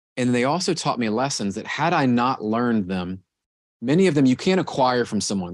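A man uses a normal speaking voice at a medium pitch, talking at a fairly quick pace with lively intonation. The recording is very clean with a silent background. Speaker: former pro soccer goalkeeper, mortgage executive and speaker. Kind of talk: interview answers.

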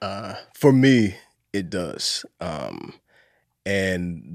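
In a very clean recording with a silent background, a man with a husky, fairly low voice comes across with a dry, close sound and no echo. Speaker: actor. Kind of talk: casual chat.

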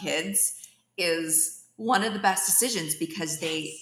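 With vocal fry, a woman talks rather slowly. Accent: American. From US West Coast, East Bay of San Francisco Bay Area. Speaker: tech startup founder and CEO. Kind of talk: podcast interview.

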